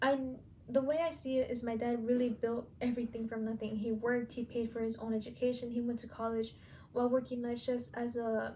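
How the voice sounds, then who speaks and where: A woman with a high pitch and a Spanish accent, at a moderate pace with fairly even intonation. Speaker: student podcaster, aspiring teacher. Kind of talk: personal narrative podcast.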